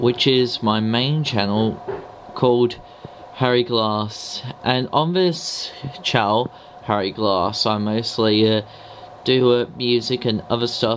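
A man at medium pitch and a slow pace, with faint background noise. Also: ordinary pitch variation.

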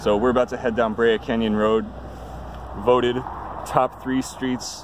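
A man speaks with fairly even intonation. The sound is dry with no echo, though noticeable background noise comes through. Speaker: cyclist vlogger. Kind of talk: casual vlog chat. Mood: wry, joking. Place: bicycle. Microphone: phone near.

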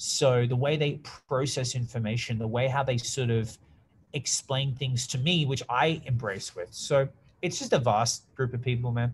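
A man with an Australian accent talks at a moderate pace in an energetic tone. There is light background noise behind him. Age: 30s. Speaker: public speaker and social media marketer; podcast guest. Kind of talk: interview conversation. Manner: loud. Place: office. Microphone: video call.

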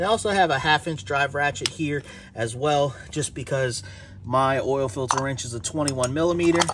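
A man talks at a moderate pace. The sound is dry with no echo, and there is noticeable background noise. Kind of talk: tutorial. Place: garage. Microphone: phone near.

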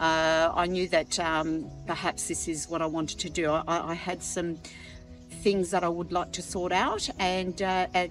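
A woman's voice, dry with no echo, over clear background music. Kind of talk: interview answer. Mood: reflective, sincere. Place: garden. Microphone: lapel.

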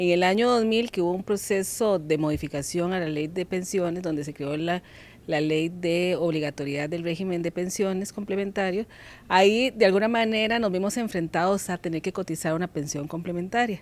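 A woman speaks at a moderate pace with ordinary pitch variation. The sound is dry, with no echo. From Costa Rica. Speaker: pension company manager. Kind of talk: TV interview. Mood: calm, friendly, explanatory. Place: office. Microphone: handheld.

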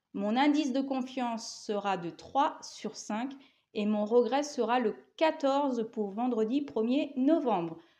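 A woman speaks with lively intonation in a dark, mellow tone. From France, Laval (Mayenne); France. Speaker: horse racing tipster. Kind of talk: betting tips monologue. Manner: casual, with filler hesitations. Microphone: lapel.

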